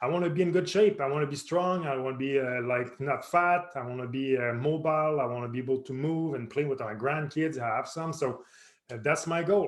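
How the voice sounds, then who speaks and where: A man speaks fairly quickly at a fairly high pitch, with ordinary pitch variation. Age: 40s. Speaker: personal trainer. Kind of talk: tutorial. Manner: halting.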